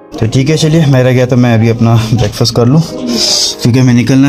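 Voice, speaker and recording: Over clear background music, a man speaks at a moderate pace with fairly even intonation. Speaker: travel vlogger. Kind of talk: casual vlog chat. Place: boat. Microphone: phone near.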